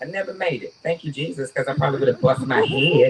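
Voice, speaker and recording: Speaking with a Georgia accent, a woman uses lively intonation. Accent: Southern US, Georgia. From US South, rural Georgia. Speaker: storyteller. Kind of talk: live storytelling. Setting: stage with audience. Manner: animated.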